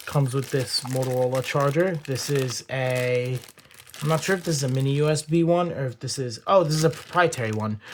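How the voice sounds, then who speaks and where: There is noticeable background noise. A man talks at a fairly quick pace in a fairly high pitch. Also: ordinary pitch variation. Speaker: phone collector YouTuber. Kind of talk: unboxing video. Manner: hyperactive.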